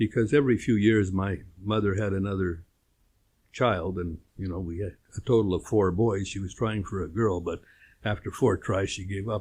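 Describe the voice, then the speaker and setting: With a Canadian accent, a man speaks at a moderate pace in a fairly low, somewhat breathy voice. His intonation stays fairly even. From Winnipeg, Canada. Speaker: interviewee, retired apparel businessman. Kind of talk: interview. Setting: studio. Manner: hesitant, many fillers.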